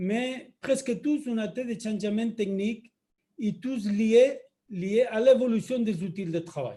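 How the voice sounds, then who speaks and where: A man with a Spanish accent speaks very slowly in a dark, mellow tone, his pitch high and ordinarily varied. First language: Spanish (speaking French). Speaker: company executive. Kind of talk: webinar introduction.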